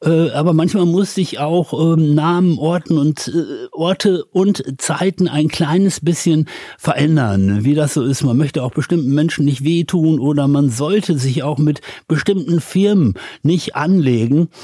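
The man's tone is dark and mellow, at a fairly high pitch with ordinary pitch variation. His loudness stays very even. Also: fairly slow pace. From Ruhr area, Germany (Dorsten). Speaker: radio host and DJ. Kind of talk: interview.

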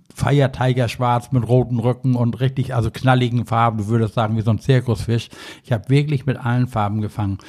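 This man's medium-pitched voice stays monotone and flat while he moves along at a fairly quick clip. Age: old. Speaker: angling expert. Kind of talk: casual chat. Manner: rambling, filler-heavy.

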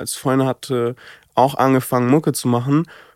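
On a very clean recording with a silent background, a man speaks in monotone, flat intonation. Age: 20s. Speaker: singer. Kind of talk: casual chat.

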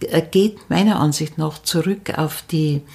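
Very slowly, this woman talks in a fairly low voice whose pitch varies in an ordinary way. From Upper Bavaria, near Munich. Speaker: storyteller and folklore expert. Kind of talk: interview. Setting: at the guest's home over tea.

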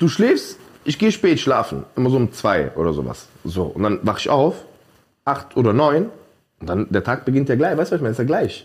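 This man has a medium pitch and vocal fry. He talks at a fairly quick pace with very wide pitch swings. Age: 30s. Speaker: podcast host. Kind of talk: casual chat.

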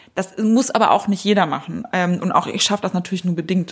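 With a plain, everyday voice, a woman speaks at a moderate pace and medium pitch with fairly even intonation on a very clean recording with a silent background. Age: 30s. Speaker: media executive and editor-in-chief. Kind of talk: interview.

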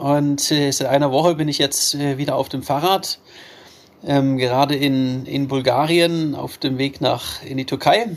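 An unremarkable speaking voice from a man, fairly high in pitch, with fairly even intonation and a fairly slow pace. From Baden-Württemberg, Germany. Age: 30s. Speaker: adventurer and ultra-endurance cyclist. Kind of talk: interview.

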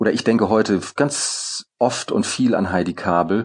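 Here a man speaks slowly, at a fairly slow pace. His pitch is fairly low, and the background is quiet. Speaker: former theater director and actor. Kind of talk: interview. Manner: hesitant with frequent fillers.

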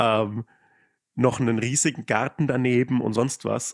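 Recorded very cleanly with a silent background and a dry, close sound with no echo, a man speaks at medium pitch and a moderate pace. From Lower Franconia, Germany. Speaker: Twitter comedian and influencer. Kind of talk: casual chat.

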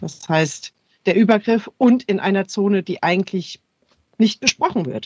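A woman speaks at a fairly slow pace in a medium pitch with ordinary pitch variation, her somewhat breathy voice recorded dry and close with no echo. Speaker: sex therapist and cultural scientist. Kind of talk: expert interview.

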